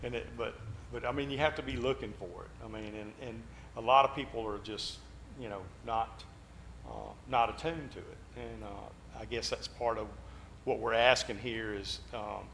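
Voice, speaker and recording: A man talks at a moderate pace with long, frequent pauses and big swings in loudness, and the room echo is audible. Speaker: Bible class teacher. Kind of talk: Bible class discussion.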